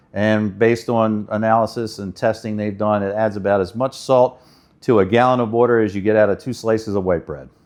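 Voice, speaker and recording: Fairly quick and fairly even in intonation, a man with a fairly low pitch has an unremarkable speaking voice. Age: 60s. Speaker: water treatment installer. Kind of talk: explainer talk to camera.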